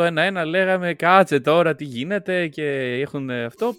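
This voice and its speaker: A plain, everyday voice from a man, fairly high in pitch, at a moderate pace. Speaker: podcast co-host. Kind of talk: casual chat.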